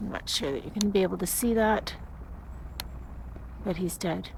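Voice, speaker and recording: This woman's voice shows vocal fry. Audible room echo surrounds her words. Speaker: amateur video blogger filming forest die-off. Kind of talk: walking narration of a home video. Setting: outdoors in woods. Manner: flat, subdued.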